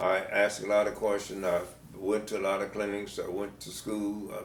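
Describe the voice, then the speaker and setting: Amid audible room echo, a man with an American accent and a fairly low pitch talks at a fairly slow pace. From US South. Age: 80s+. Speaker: retired band director. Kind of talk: interview. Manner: halting.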